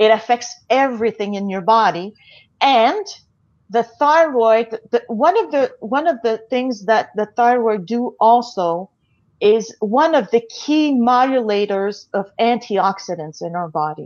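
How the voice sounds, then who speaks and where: The background is quiet. A woman speaks at a fairly slow pace with lively intonation. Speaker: remote guest. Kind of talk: interview answer. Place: home room. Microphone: earbuds.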